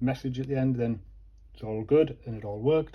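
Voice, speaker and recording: A man's somewhat breathy voice at medium pitch, with ordinary pitch variation and a moderate pace. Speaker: electronics repair youtuber. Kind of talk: tutorial. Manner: casual, thinking aloud.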